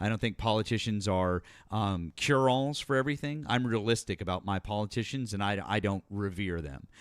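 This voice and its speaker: On a very clean recording with a silent background, a man talks at a fairly quick pace in an animated tone, with hardly any pauses. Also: fairly low pitch for a man, ordinary pitch variation. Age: 40s. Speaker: political talk show host. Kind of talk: heated debate. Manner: animated, interrupting.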